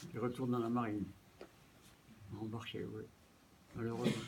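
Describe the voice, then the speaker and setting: This man's pitch sits in the medium range. His intonation is monotone and flat. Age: 90s. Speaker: war veteran. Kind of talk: interview. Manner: halting.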